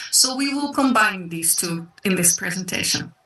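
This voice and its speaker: With a slight South African accent, a woman talks at a moderate pace with very wide pitch swings. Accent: slight South African Dutch. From South Africa and the Netherlands. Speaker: online business presenter. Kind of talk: sales pitch.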